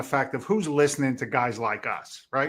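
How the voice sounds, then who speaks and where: A man with a Boston accent speaks at a medium pitch and fairly quick pace. The recording is very clean, with a silent background. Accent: English with a Boston twang. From England, London. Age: 60s. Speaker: real estate investor and trainer, former firefighter. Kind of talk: podcast interview. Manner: casual, halting with repetitions.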